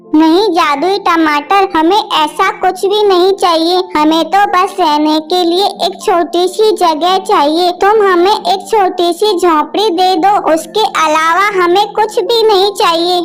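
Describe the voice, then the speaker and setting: A cartoonish character voice moves at a fairly slow pace. Background noise is clearly heard. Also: woman, extremely high pitch for a woman. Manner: soft, emotional.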